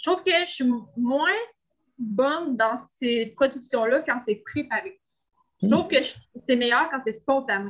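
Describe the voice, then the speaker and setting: Speaking in a Quebec accent at a very slow pace, the voice has lively intonation and long, frequent pauses. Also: woman. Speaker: entrepreneur. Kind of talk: coaching session.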